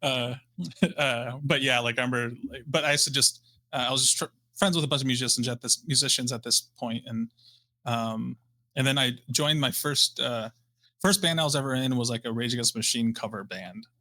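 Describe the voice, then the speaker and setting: With a Midwestern American accent, a man talks at a fairly quick pace and a medium pitch, his tone bright and sharp and his pitch varying in an ordinary way. The recording is dry and close with no echo, over a silent background. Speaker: guitarist and professor. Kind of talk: casual chat. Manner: halting, many fillers.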